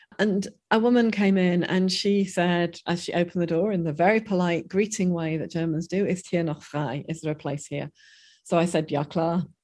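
A woman speaks in an unremarkable speaking voice at a fairly low pitch. Her pace is moderate and her pitch variation ordinary. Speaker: professor. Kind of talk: interview discussion.

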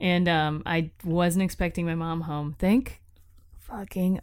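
A woman with an American accent has an unremarkable speaking voice and a fairly low pitch. She talks at a fairly slow pace with fairly even intonation. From Florida, Tampa. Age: 20s. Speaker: podcast co-host. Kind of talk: casual chat.

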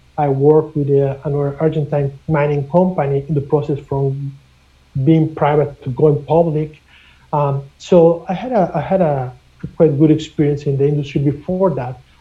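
A man's fairly high, somewhat breathy voice in a Spanish accent, monotone and flat, at a moderate pace. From Mexico. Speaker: mining company executive. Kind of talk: interview. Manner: halting, many repeated words.

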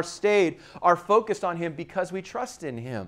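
A man speaks with a high pitch and ordinary pitch variation. The recording is very clean, with a silent background. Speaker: pastor. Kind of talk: sermon. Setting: church. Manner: fast.

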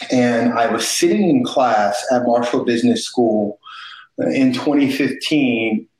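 A man speaks with an American accent in a plain, everyday voice. His pitch varies in an ordinary way. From East St. Louis, Illinois. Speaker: company founder and navy veteran. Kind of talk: interview.

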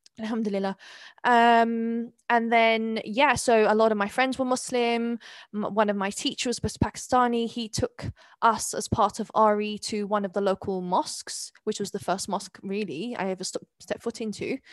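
A woman with an English accent talks at a moderate pace in a fairly high pitch with fairly even intonation, on a very clean recording with a silent background and a dry, close sound with no echo. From London (East London), born in South Wales. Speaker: convert and community mentor. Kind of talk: interview conversation.

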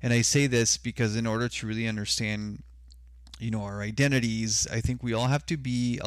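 In a very clean recording with a silent background, a man with an unremarkable speaking voice talks at a fairly low pitch and moderate pace, with ordinary pitch variation. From Mexico (Sonora), raised in US border region. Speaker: consultant. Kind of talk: casual chat.

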